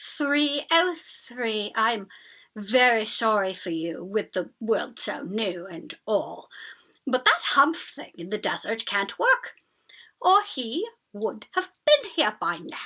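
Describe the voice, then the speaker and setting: At a very slow pace, a woman speaks in a put-on character voice. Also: fairly high pitch for a woman. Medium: read story.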